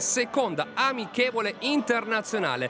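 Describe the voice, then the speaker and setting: A man talks in a raised, projected voice at a high pitch. He goes at a fairly slow pace over noticeable background noise. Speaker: football commentator. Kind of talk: live sports commentary.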